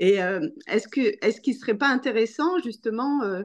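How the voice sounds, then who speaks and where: The voice moves at a fairly slow pace with lively intonation, set against a quiet background. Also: woman. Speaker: association ambassador, participant. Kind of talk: participant comment in discussion. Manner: halting. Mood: reflective, emotionally moved. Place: home room. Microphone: video call.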